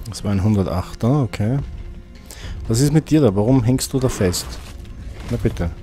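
A man's speech with long, frequent pauses and faint music in the background. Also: ordinary pitch variation, moderate pace. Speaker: gaming video host. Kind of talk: let's play commentary. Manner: casual, upbeat. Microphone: studio mic.

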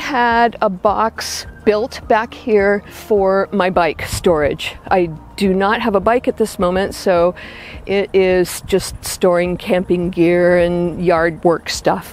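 Speaking at a very slow pace with lively intonation, a woman comes through in a dry sound with no echo. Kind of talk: home tour explanation. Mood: warm, content. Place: garden.

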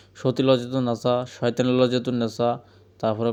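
The man's intonation is flat and monotone. His tone is dark and mellow. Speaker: folk healer selling books. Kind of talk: sales pitch. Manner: casual, repetitive.

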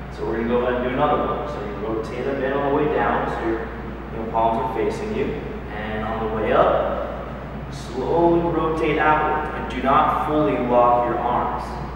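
A man at a moderate pace, with strong room echo and noticeable background noise. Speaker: fitness instructor. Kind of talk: tutorial. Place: gym. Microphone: camera far.

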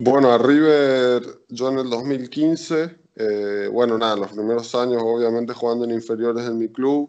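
At a fairly slow pace and with fairly even intonation, a man speaks against a quiet background. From Argentina, Chaco then Carlos Paz (Córdoba); Argentina. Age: 20s. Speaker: volleyball player; interviewee. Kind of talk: interview. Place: home room. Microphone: video call.

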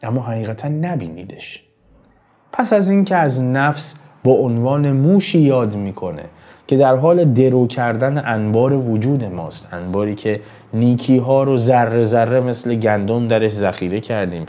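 This man speaks at a fairly slow pace with medium pitch, lively intonation and a dark, mellow tone, with audible room echo around him. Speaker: poetry interpreter, channel host. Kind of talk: lecture. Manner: formal.

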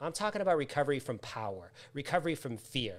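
A man with an American accent talks very fast at a fairly high pitch. His pitch swings very widely. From US Northeast, Massachusetts. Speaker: author, trainer and recovery coach; coach guest. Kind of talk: live interview. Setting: live online video stream. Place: home room.

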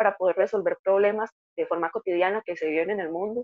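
With a Costa Rican accent, a woman speaks at a very fast pace and medium pitch, using ordinary pitch variation. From Costa Rica, Heredia. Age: 20s. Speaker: engineering student. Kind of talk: interview testimony.

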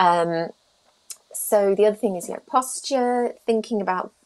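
A woman speaks with a British accent at a medium pitch. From UK. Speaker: speech therapist; guest. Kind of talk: interview. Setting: video call. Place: home room. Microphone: video call.

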